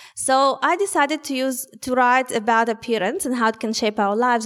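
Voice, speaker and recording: A woman speaks with a Russian accent in a high voice. Her pace is moderate and her pitch varies in an ordinary way. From Soviet Union. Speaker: author. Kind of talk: public talk. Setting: stage with audience.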